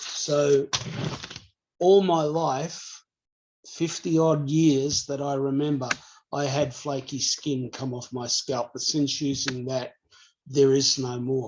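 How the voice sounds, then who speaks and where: An Australian accent at a very slow pace with long, frequent pauses. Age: 50s. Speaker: customer sharing product testimony. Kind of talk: testimony.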